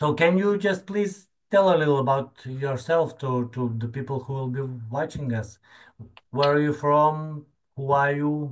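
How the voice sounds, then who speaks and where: With a Lithuanian accent, a man talks at a fairly slow pace, his fairly high pitch moving with ordinary variation. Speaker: podcast host. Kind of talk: casual interview. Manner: halting.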